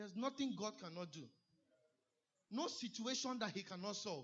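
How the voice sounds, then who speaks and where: The speaker is a man. He talks at a moderate pace. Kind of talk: sermon. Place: church.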